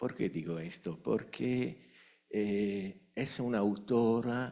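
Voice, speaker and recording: Against a quiet background, a man speaks at a very slow pace. His fairly low voice shows ordinary pitch variation. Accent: Italian. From Italy. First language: Italian (speaking Spanish). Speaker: academic, conference attendee asking question. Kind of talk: Q&A at academic conference. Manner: hesitant, many fillers.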